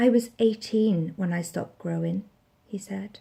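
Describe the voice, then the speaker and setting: A woman with a Welsh accent speaks fairly slowly in a dark, mellow, somewhat breathy tone with fairly even intonation. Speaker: actress, spoken word poet. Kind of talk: spoken word poetry performance.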